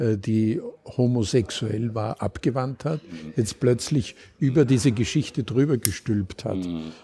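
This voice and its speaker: A man speaks very slowly at medium pitch. His tone is dark and mellow. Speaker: community radio host. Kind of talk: interview. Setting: Viennese coffee house.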